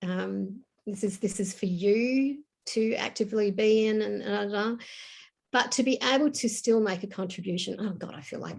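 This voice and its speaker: Speaking at a moderate pace, a woman with an Australian accent has a fairly high, somewhat breathy voice. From Tasmania, Australia. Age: 60s. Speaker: novelist. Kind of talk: interview.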